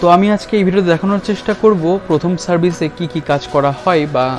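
A man with a high-pitched voice speaks while clear music plays in the background. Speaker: motovlogger. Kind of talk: casual vlog chat. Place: motorbike.

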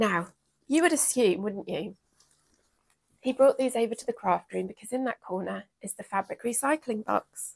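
In a quiet background, a woman with an English accent speaks with vocal fry, lively intonation, big swings in loudness, and long, frequent pauses. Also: moderate pace. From England. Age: 40s. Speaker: sewing vlogger. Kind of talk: casual chat. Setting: craft room. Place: home room. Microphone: lapel.

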